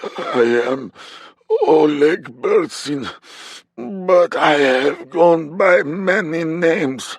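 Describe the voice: A man puts on a character voice at a high pitch. He speaks at a very slow pace with long, frequent pauses.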